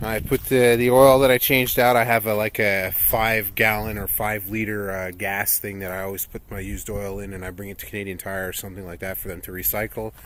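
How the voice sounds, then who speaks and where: A man speaks quickly in a fairly low pitch, with ordinary pitch variation. Noticeable background noise sits behind him. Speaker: car vlogger. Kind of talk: casual vlog. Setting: outdoors.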